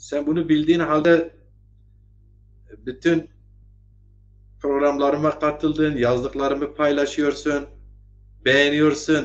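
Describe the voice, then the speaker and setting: Long, frequent pauses break up a man's speech at a very slow pace. His pitch is fairly high. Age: 50s. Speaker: online talk show host. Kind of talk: political commentary livestream. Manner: animated.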